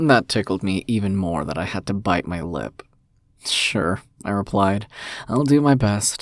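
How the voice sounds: This is a natural reading voice. The intonation is lively.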